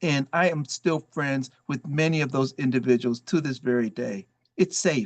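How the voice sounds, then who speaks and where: This is a man with an unremarkable speaking voice at a fairly high pitch. He talks at a moderate pace with ordinary pitch variation. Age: 60s. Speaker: volunteer and former congressional chief of staff. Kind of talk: motivational talk.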